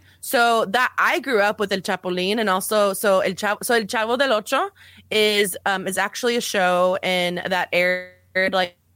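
A woman talks at a moderate pace in a bright, sharp tone of medium pitch, with ordinary pitch variation. The recording is very clean and dry, close with no echo and a silent background. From El Paso, Texas, US-Mexico border. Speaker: podcast guest, podcaster. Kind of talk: casual chat.

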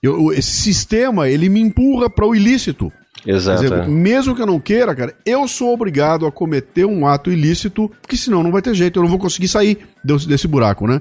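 Over noticeable background noise, a man with a high pitch talks fairly quickly, his pitch swinging very widely while his loudness stays very even. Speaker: podcaster and speaker. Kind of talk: casual chat.

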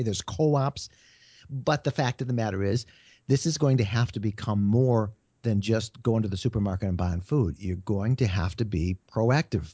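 A man with a medium pitch and ordinary pitch variation speaks somewhat breathily at a fairly quick pace. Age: 60s. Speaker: media writer and travel blogger. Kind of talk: interview. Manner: halting, with fillers and repeated words.

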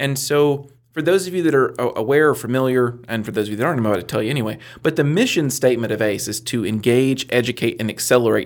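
Over a very clean recording with a silent background, a man talks very fast at a medium pitch with ordinary pitch variation. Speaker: business center director and mentor. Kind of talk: casual chat, joking interview. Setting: studio.

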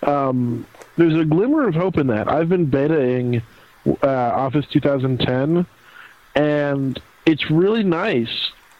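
Over noticeable background noise, a man with a fairly high pitch speaks at a very slow pace in a playful tone. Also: ordinary pitch variation. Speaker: podcast co-host. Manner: joking, playful.

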